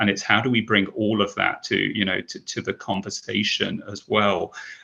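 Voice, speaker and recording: Speaking at a moderate pace, a man talks in a British accent. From Britain. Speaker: advertising executive. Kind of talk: panel discussion.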